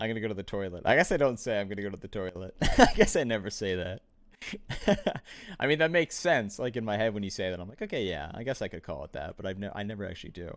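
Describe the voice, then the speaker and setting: Very fast, lively speech from a man with a fairly low pitch, on a very clean recording with a silent background. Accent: American. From Ontario, Canada. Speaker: tournament stream caster. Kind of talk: casual chat on live stream. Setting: live stream.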